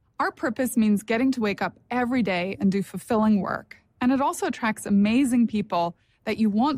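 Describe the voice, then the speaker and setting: Recorded very cleanly against a silent background, with a dry, close sound and no echo, a woman with a Northern Irish accent speaks at a moderate pace and fairly high pitch, somewhat breathy, with ordinary pitch variation. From Northern Ireland. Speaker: company executive. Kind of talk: corporate presentation.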